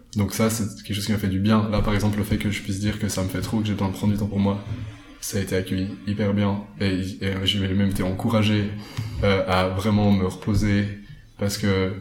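Fairly quick, monotone, flat delivery from a man with a fairly low pitch, with music in the background and audible room echo. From French-speaking Switzerland, Lavaux (Vaud). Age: 20s. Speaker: climate activist and agronomy student. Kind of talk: casual interview.

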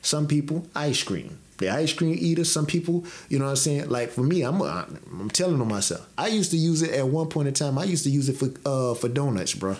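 Hardly pausing, the speaker uses an unremarkable speaking voice with lively intonation. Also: man, fairly high pitch for a man, fairly quick pace. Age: 30s. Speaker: podcast co-host. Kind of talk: casual chat.

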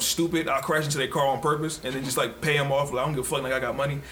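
A man speaks with audible room echo. Noticeable background noise is present too. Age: 30s. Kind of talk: casual chat.

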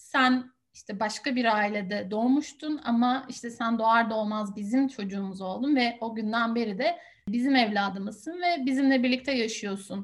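A woman speaks at a moderate pace in a high pitch with lively intonation. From Turkey, small town. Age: 30s. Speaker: research assistant, adoptee. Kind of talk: interview.

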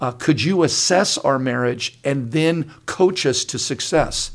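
A normal speaking voice moves at a fairly slow pace with ordinary pitch variation. The recording is very clean and the background silent. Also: man. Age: 60s. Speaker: pastor. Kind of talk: casual chat.

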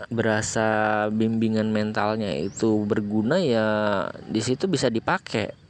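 A man at a fairly slow pace over noticeable background noise. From Lampung, Indonesia. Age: 20s. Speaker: podcast host. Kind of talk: casual monologue storytelling. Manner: casual, hesitant with fillers.

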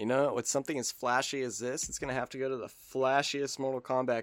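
Here a man talks at a fairly quick pace and a medium pitch. His intonation is monotone and flat, in a dry, close sound with no echo. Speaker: podcast co-host, gamer. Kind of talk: casual banter, comedic chat. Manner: casual, jokey, profane.

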